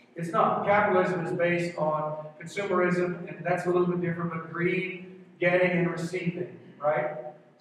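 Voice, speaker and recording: Strong room echo and light background noise surround a voice with monotone, flat intonation. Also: man, high pitch for a man, moderate pace. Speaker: pastor. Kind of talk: sermon. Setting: church with congregation. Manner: urgent, earnest, rallying the congregation. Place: church.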